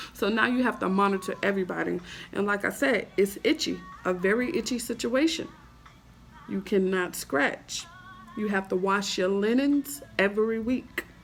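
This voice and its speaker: Over music in the background, a woman talks at a moderate pace in a medium-pitched voice with ordinary pitch variation. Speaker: video blogger. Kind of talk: casual vlog talk. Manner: halting, many fillers.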